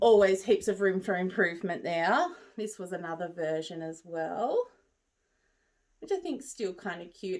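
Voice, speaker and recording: Lively intonation and a moderate pace, with an Australian accent. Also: woman. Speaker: crochet maker and market seller. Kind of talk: casual vlog show and tell. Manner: relaxed, hesitant.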